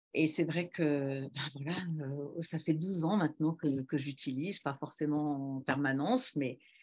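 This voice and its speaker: A woman with a very deep, low pitch speaks at a fairly slow pace with ordinary pitch variation against a quiet background. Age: 60s. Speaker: former speed skier. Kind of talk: testimony. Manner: hesitant, many fillers.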